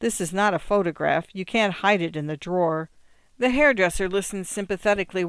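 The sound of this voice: This is an unforced reading voice. Its pitch varies an ordinary amount.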